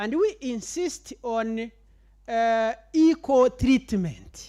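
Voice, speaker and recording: A very slow pace on a very clean recording with a silent background. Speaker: university administrator presenting. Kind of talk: conference presentation. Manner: hesitant, many fillers.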